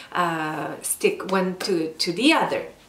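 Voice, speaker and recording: Speaking at a very slow pace, a woman with a medium pitch and a non-native accent is heard over noticeable background noise and audible room echo. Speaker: lifestyle vlogger. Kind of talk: casual vlog talk. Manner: slow, with hesitations.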